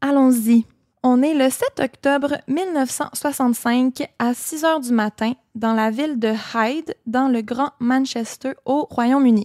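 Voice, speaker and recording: With a Quebec accent, a woman speaks at a very slow pace in a high pitch with ordinary pitch variation, the sound dry and close with no echo. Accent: Québécois. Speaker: podcast co-host. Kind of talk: true crime storytelling; casual chat.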